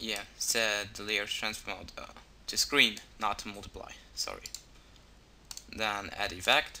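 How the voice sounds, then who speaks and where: A man at a fairly slow pace, with big swings in loudness and long, frequent pauses. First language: not English. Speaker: video tutorial maker. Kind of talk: tutorial. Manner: halting, many fillers.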